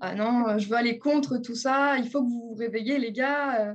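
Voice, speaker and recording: A woman with a plain, everyday voice speaks fairly slowly at a fairly high pitch, her intonation fairly even. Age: 20s. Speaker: energy massage therapist. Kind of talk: interview.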